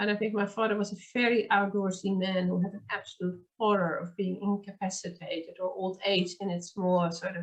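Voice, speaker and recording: In a Dutch accent, a woman speaks at a medium pitch and moderate pace with hardly any pauses and monotone, flat intonation. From Netherlands. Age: 50s. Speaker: podcast host. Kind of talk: casual chat.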